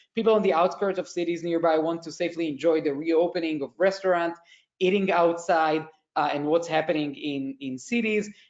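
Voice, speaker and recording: This man talks at a fairly quick pace. His voice sits high in pitch, with ordinary pitch variation. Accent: Israeli. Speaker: tech company executive. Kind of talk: conference panel presentation.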